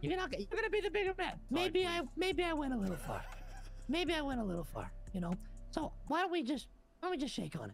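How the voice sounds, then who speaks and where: A put-on character voice sits at a high pitch and moves at a fairly quick pace. Long pauses break it up frequently. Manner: mocking, sly.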